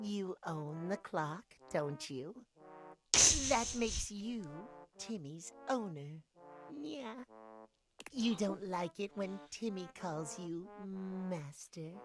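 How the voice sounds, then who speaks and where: In a put-on character voice, a female-sounding speaker talks at a middle pitch and a very slow pace, with long, frequent pauses. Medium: game stream. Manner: refers to himself in third person.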